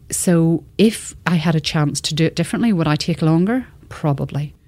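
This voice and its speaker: Speaking at a moderate pace with an Irish accent, a woman has a very deep, low voice on a very clean recording with a silent background. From Northern Ireland. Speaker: television executive. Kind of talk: interview.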